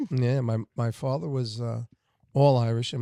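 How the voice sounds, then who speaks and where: A man with an American accent speaks at medium pitch and a moderate pace, his tone dark and mellow. The intonation is fairly even, and the sound is dry and close with no echo. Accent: New York Italian. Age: 60s. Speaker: guest, former singer and bar owner. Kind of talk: casual chat.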